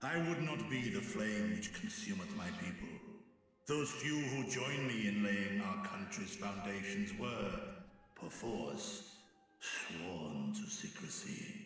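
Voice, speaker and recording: A man puts on a character voice at a fairly high pitch, with very wide pitch swings and a fairly slow pace. The recording has a strong echo. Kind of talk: archaic speech. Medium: game stream. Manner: solemn, formal.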